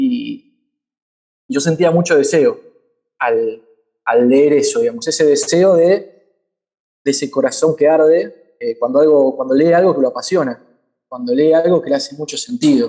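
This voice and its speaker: Pausing long and often, a man speaks at a fairly slow pace with a high pitch and a dark, mellow tone. His pitch swings very widely. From Argentina, Buenos Aires. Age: 30s. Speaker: community organizer, social movement activist. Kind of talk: panel talk.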